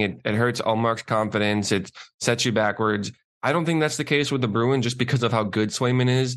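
A man speaks at a fairly quick pace with an American accent. His is an ordinary speaking voice with medium pitch. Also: quiet background. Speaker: co-host. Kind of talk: casual chat. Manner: dry, teasing.

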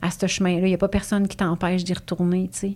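This is a woman speaking. Her pace is very fast. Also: very clean recording, silent background. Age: 40s. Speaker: positive psychology coach. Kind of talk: casual chat.

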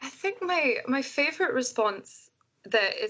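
A woman speaks at a fairly slow pace with a Scottish accent. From Scotland. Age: 20s. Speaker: soprano singer and recovering alcoholic. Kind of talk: interview, personal testimony. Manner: animated.

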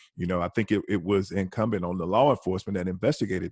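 A man with a Southern US accent, fairly low pitch and fairly even intonation, in a dry, close sound with no echo over a quiet background. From US South, Alabama. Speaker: retired homicide detective. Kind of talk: casual discussion.

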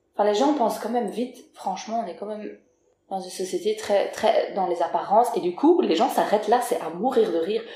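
A woman with an ordinary speaking voice talks at a fairly quick pace, using lively intonation and big swings in loudness. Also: fairly high pitch for a woman. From Belgium. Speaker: rapper and singer. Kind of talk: casual chat. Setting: at the host's home.

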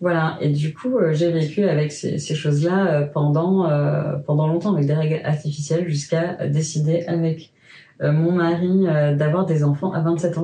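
A woman's very deep, low voice, monotone and flat in intonation, at a moderate pace with very even loudness. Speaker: sex educator and sex therapist. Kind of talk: personal testimony in a conversational interview.

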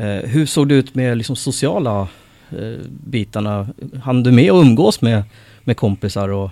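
Here is a man with a normal speaking voice and medium pitch. His intonation is lively and his pace moderate. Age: 40s. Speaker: podcast host. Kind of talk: interview conversation.

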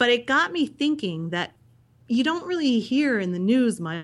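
With lively intonation and a moderate pace, a woman talks in an unremarkable speaking voice. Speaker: history podcast host. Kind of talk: interview.

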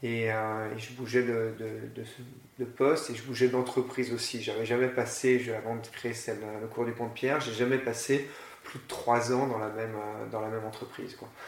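A man talks at a moderate pace in a flat monotone of medium pitch. His loudness swings widely, and the room echo is audible. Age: 40s. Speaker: school founder. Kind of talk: interview. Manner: halting.

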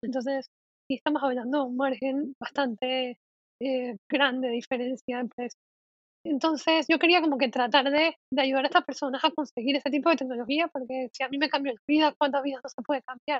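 A woman with a high voice speaks at a fairly quick pace. Her intonation stays fairly even. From Panama. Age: 20s. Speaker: psychologist and content creator. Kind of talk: interview, personal story.

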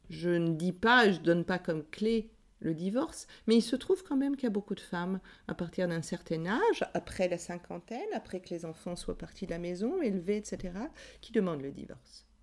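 A woman speaks at a moderate pace in a medium pitch, with ordinary pitch variation. Her loudness swings widely from moment to moment. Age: 60s. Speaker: psychoanalyst and author. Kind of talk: testimony. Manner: passionate.

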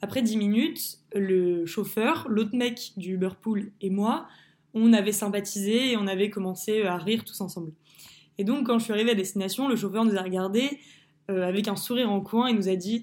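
Recorded very cleanly against a silent background, a woman speaks at medium pitch and a moderate pace with ordinary pitch variation. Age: 20s. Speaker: student sharing personal testimony. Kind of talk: testimony. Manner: hesitant with fillers.

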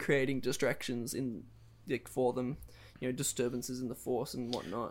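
Recorded very cleanly against a silent background, a man talks at a moderate pace and a medium pitch. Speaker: podcast co-host. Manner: excited, enthusiastic.

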